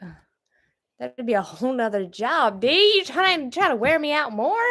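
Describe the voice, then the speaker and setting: A woman with a Southern US accent talks at a moderate pace, her high pitch making very wide swings. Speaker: homestead vlogger. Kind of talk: livestream chat, reading viewer comments. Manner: halting, stumbling when reading.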